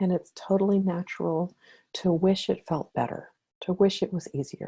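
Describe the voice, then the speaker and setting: A woman speaks at a moderate pace and a medium pitch, her somewhat breathy voice dark and mellow in tone, with ordinary pitch variation on a very clean recording with a silent background. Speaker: spiritual counselor and meditation guide. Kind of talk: spiritual talk with guided meditation.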